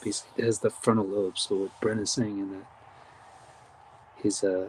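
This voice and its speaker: A whispering man at a fairly quick pace. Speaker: live event host. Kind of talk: live commentary. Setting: outdoors.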